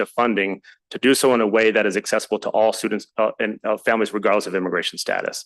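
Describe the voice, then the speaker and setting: Against a quiet background, a man speaks very fast with fairly even intonation. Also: dry, close sound with no echo. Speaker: presenter on student homelessness services. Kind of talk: public meeting testimony. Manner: halting.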